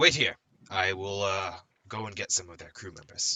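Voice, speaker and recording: A raspy, put-on character voice from a man, fairly low in pitch, with fairly even intonation at a moderate pace. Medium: actual play. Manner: businesslike.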